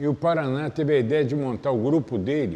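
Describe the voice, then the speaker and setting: A man's voice, fairly high in pitch. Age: 60s. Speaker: capoeira master. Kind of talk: interview.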